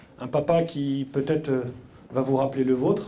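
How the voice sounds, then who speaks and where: A man at a moderate pace, with audible room echo. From France, Paris suburbs (Mantes-la-Jolie, Yvelines). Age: 30s. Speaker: entrepreneur. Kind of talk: talk to school pupils. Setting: school hall with audience. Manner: halting, many hesitations.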